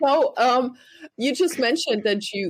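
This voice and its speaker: A woman's lively intonation in a German accent. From Germany. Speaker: podcast host. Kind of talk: podcast interview.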